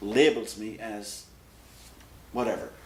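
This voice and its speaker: Flat and monotone, the man's medium-pitched speech comes with an American accent. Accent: Irish with American overtones. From west of Ireland, Galway. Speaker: immigrant interviewee. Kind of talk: interview testimony.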